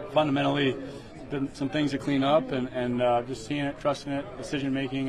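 Crowd noise fills the background as a man speaks at a fairly quick pace with fairly even intonation. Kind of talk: interview answer. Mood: calm, measured, subdued. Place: home room. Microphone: handheld.

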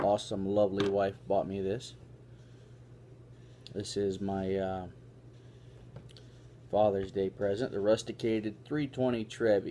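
With long, frequent pauses, a man speaks at a fairly slow pace in a fairly low pitch and a dark, mellow tone, with light background noise. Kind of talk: casual vlog chat. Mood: relaxed, pleased. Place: home room.

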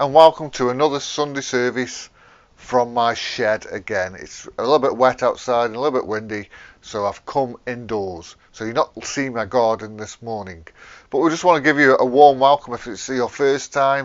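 Against a quiet background, a man talks at a moderate pace with ordinary pitch variation and big swings in loudness. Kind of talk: church welcome address. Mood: warm, friendly. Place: garden. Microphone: lapel.

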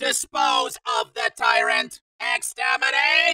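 A woman's put-on, robotic character voice, high in pitch and at a fairly slow pace. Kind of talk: stilted, commanding. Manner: menacing, commanding.

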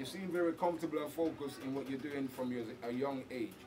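Over noticeable background noise, the speech runs at a very fast pace. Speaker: interviewer. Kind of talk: casual interview. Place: studio.

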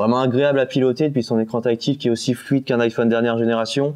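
The pace is very fast and the intonation monotone and flat. The background is quiet. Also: man. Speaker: hi-fi product writer. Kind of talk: product presentation. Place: studio.

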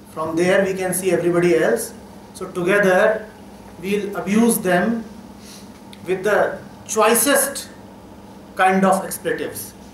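Speaking at a fairly slow pace with long, frequent pauses, a man with a high pitch and ordinary pitch variation is heard against light background noise and audible room echo. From India. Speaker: spiritual teacher. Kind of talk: talk to students. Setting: college hall with audience.

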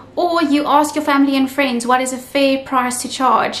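A woman speaks at a moderate pace in a high pitch with a fairly bright tone and fairly even intonation over faint background noise.

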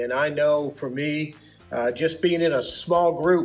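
Faint music sits under the recording. A man talks, his pitch varying in an ordinary way. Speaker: church pastor. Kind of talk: announcement to congregation. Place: hall. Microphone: camera far.

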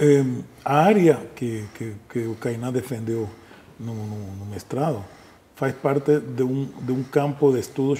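Ordinary pitch variation and a fairly slow pace from a male speaker. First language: Spanish (speaking Portuguese). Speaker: musicology professor. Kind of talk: interview. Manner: hesitant, many fillers. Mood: calm, explanatory. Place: studio. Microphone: lapel.

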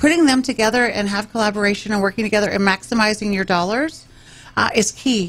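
A woman talks very fast with an American accent. Her pitch sits fairly high. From Texas (Round Rock, central Texas); Texas. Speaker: mayor and political candidate; mayor, candidate. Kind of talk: radio interview. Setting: radio studio. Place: studio. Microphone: studio mic.

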